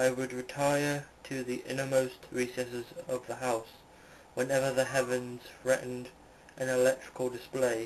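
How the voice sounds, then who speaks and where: Monotone, flat speech from a man at medium pitch and moderate pace, over noticeable background noise. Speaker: audiobook reader. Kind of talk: amateur story reading. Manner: stumbling, with self-corrections.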